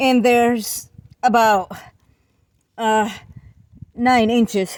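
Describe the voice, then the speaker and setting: A high-voiced woman speaking very slowly, with fairly even intonation. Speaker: DIY roofing vlogger. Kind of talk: tutorial. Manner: halting, many fillers.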